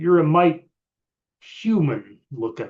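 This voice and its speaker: A man performs a put-on character voice. It sits at a fairly high pitch. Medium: read story. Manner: gruff, blunt, common.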